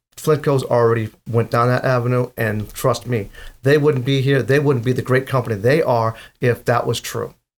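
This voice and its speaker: On a very clean recording with a silent background, a man with an East Coast US accent talks at medium pitch and a moderate pace with fairly even intonation. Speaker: safety consultant. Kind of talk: interview answer.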